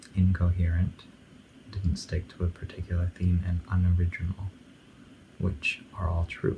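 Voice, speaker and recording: A man speaks very slowly in a very deep, low pitch with a dark, mellow tone. His delivery is somewhat breathy, with monotone, flat intonation. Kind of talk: casual talk to camera, album commentary. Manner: calm, mumbling, half-asleep.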